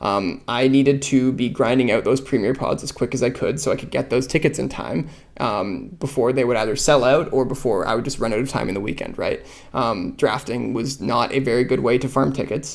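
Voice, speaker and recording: A man with a Canadian accent, medium pitch, ordinary pitch variation, vocal fry and a fairly quick pace. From Canada. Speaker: podcast host, card game player. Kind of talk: solo podcast commentary. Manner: casual, many fillers (um, uh).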